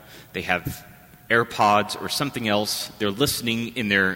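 Soft-spoken, a man talks at a moderate pace and medium pitch. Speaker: priest. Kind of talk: homily. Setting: church.

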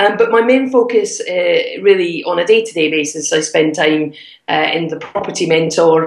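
A woman talks over noticeable background noise. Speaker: property investor and mentor. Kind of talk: interview. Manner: animated.

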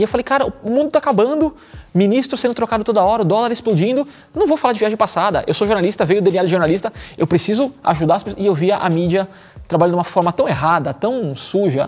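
A man talks at a very fast pace in a high voice. His intonation is lively and his loudness very even. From Brazil, São Paulo. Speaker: marketing executive and lifestyle influencer. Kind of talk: casual chat. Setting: studio.

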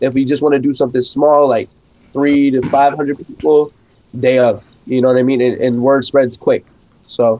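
A man speaks in a New York accent with monotone, flat intonation. His loudness stays very even. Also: medium pitch for a man, moderate pace. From New York / New Jersey. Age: 20s. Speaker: DJ and event promoter. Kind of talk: casual chat. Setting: video call.

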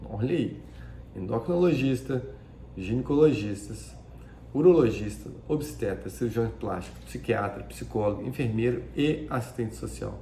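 Speaking at a fairly slow pace, a man is heard in a room with audible echo. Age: 40s. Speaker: plastic surgeon. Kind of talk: educational talk. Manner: halting.

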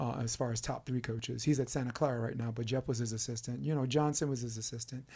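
In a very clean recording with a silent background, a man speaks very fast with a dark, mellow, somewhat breathy tone. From New York City (Brooklyn). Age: 50s. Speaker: podcast host and volleyball coach. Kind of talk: casual interview chat. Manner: animated.

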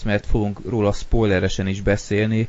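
The speaker talks at a fairly slow pace with fairly even intonation. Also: man. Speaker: podcast host. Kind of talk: casual chat. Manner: monotone, bored-sounding; hesitant with filler sounds.

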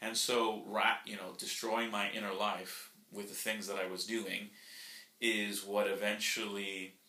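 Over noticeable background noise, a man speaks at a fairly low pitch. His intonation is flat and monotone, at a moderate pace. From Florida, US (Nicaraguan family, born in Colombia). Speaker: YouTuber and podcast co-host. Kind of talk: casual conversational podcast. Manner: talkative.

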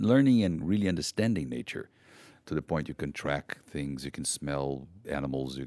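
A man speaks with a Portuguese accent at a moderate pace. His very deep, low voice sounds dry and close with no echo. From Brazil. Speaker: conservation NGO founder. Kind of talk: personal storytelling.

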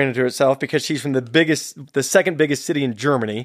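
The recording is very clean, with a silent background. On it, a man speaks at a very fast pace. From San Jose, California. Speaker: filmmaker. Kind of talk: casual interview conversation. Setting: studio.

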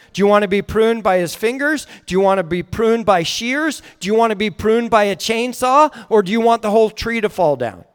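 A man with an American accent talks fairly quickly at a high pitch, with ordinary pitch variation and hardly any pauses. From northern California. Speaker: guest preacher. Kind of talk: sermon. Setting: church.

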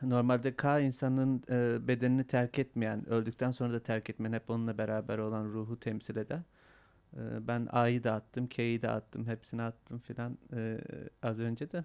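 At a moderate pace, a man talks in a flat, monotone way at medium pitch, recorded with a dry, close sound and no echo. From Manisa, Turkey. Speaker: documentary maker and photographer. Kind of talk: casual interview. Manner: halting, hesitant.

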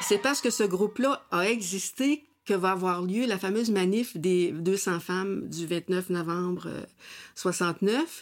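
A woman speaks very slowly with a Quebec accent, at a medium pitch with ordinary pitch variation. The recording is very clean, with a silent background. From Quebec, near Sorel. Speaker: former activist and author. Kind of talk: interview testimony.

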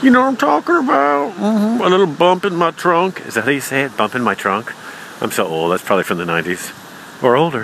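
A man talks at a fairly quick clip with a fairly high pitch and very wide swings in pitch. Noticeable background noise runs underneath. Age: 40s. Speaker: comedian. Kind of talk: stand-up.

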